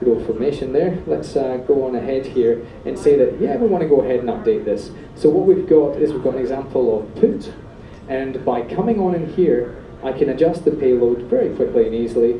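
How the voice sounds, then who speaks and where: A man with a Scottish accent talks at a fairly quick pace with lively intonation, with audible room echo and noticeable background noise. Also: medium pitch for a man. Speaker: software developer, meetup speaker. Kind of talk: technical presentation with live demo. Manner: fast; animated.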